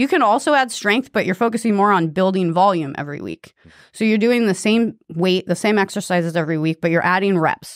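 An unremarkable speaking voice from a woman at medium pitch and a fairly quick pace. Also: ordinary pitch variation. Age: 40s. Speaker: fitness coach and former tattoo artist. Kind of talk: casual chat.

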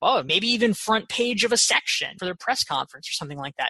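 An American accent marks this woman's energetic, upbeat delivery, bright and sharp in tone. Her pitch swings very widely, and the sound is dry and close with no echo. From US South, North Carolina (Pinehurst). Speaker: author and business consultant. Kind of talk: interview.

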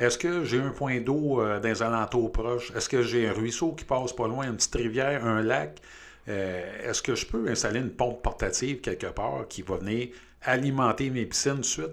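A man with a Quebec accent speaks at a moderate pace, his medium-pitched voice showing vocal fry and ordinary pitch variation. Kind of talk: interview.

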